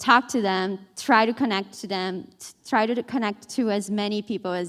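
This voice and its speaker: In a very clean recording with a silent background, a woman with a Portuguese accent speaks at a moderate pace, her medium pitch showing ordinary variation. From Brazil. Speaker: newspaper reporter. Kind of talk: panel discussion.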